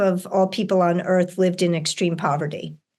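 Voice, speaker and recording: A woman with an American accent speaks in a plain, everyday voice at a medium pitch and a fairly slow pace. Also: quiet background. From US, New York City. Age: 60s. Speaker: author and educator. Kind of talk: interview conversation.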